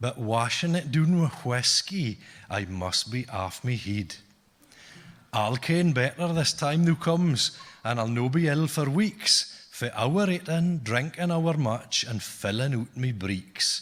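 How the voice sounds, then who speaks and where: A man speaks at a very slow pace in a fairly high pitch, his intonation lively and his voice somewhat breathy. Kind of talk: poetry reading in dialect.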